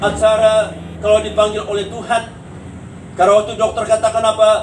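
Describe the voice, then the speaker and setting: A man with a high pitch speaks in a monotone, flat way at a moderate pace, with audible room echo and noticeable background noise. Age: 70s. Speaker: pastor. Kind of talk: sermon. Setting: funeral consolation service.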